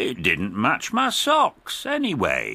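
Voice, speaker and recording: A man in a put-on character voice at a very slow pace. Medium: read story. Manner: warm, cheerful.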